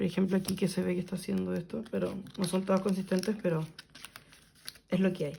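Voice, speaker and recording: A woman talks at a very fast pace and a medium pitch in a monotone, flat intonation, with long, frequent pauses. Noticeable background noise sits behind her. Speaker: kpop photocard collector youtuber. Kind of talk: casual vlog narration while organizing.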